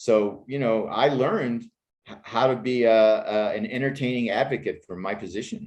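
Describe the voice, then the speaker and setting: A man speaks at a moderate pace with an American accent in an unremarkable speaking voice, his medium pitch showing ordinary variation while his loudness swings widely. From Pittsburgh, Pennsylvania. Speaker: screenwriter and actor. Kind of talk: interview conversation.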